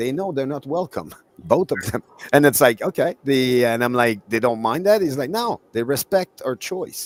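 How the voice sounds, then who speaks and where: Speaking at a moderate pace with lively intonation, a man with an ordinary speaking voice and medium pitch is heard in a dry, close sound with no echo. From Canada. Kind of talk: casual chat.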